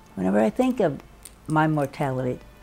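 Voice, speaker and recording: A woman's very deep, low voice at a moderate pace over faint music in the background. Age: 80s+. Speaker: children's book author. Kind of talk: interview storytelling. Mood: reflective, lively recollection. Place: home room.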